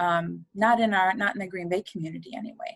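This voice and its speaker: A woman speaks in a somewhat breathy voice. The sound is dry and close, with no echo. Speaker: funeral home aftercare coordinator. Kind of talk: podcast interview. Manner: fast.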